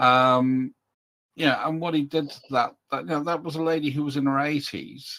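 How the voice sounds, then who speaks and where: Fairly high for a man, his voice has a bright, sharp tone, fairly even intonation and a moderate pace. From northeast Scotland. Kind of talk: casual chat.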